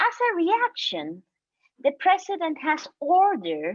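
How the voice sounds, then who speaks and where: In a Guatemalan accent, a woman speaks with very wide pitch swings. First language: Spanish. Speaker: human rights defender. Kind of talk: panel talk. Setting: video call. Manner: halting.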